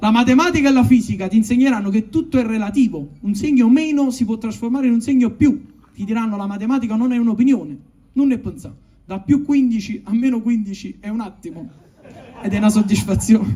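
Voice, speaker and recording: Here a man speaks at an extremely high pitch with ordinary pitch variation. He leaves long, frequent pauses. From Naples, Italy. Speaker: stand-up comedian. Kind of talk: comic letter read aloud. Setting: live stage with audience.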